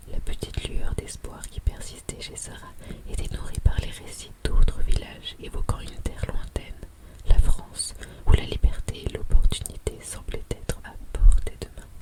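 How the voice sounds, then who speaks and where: A woman whispering in a calm tone, with noticeable background noise. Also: fairly slow pace, big swings in loudness. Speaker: French-as-a-foreign-language teacher and ASMR storyteller. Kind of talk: audiobook-style story narration / sleep story. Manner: whispered, soft-spoken, calm.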